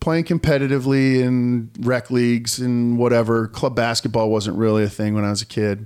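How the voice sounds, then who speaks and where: An unremarkable speaking voice at a moderate pace, with fairly even intonation and very even loudness. The recording is very clean, with a silent background. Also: man. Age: 40s. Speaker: podcast host and volleyball coach. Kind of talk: casual chat.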